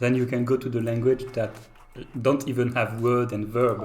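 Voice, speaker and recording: With a French accent and a medium pitch, a man speaks over noticeable background noise. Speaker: game developer streamer. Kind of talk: casual chat. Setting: live stream. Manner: halting.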